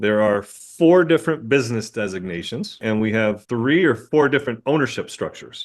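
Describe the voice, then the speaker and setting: A man speaks in a normal speaking voice at a medium pitch and moderate pace. His intonation is lively, with hardly any pauses. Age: 60s. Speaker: dentist and practice owner. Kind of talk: casual podcast conversation.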